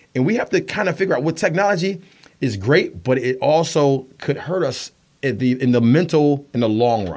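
Here is a man with an ordinary speaking voice, fairly high in pitch. He talks at a moderate pace with lively intonation. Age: 40s. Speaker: radio show host and guest. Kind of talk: casual interview.

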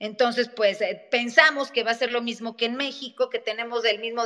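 Flat, monotone delivery at a fairly quick pace. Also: woman. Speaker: lawyer and legal scholar. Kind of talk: interview on a live audio space. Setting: online audio room.

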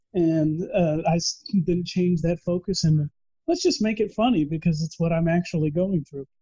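In a Texan accent, a man with a high pitch and a dark, mellow tone talks at a moderate pace with fairly even intonation, the sound dry and close with no echo. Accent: Texan American. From Texas. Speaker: operations manager and author. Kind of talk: interview.

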